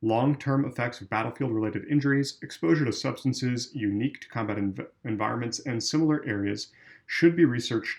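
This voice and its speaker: An unremarkable speaking voice from a man, medium in pitch with ordinary pitch variation, at a fairly quick pace with hardly any pauses. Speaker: volunteer member of a veterans' political group reading policy. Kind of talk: policy reading, straight read without commentary. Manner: plain, measured reading.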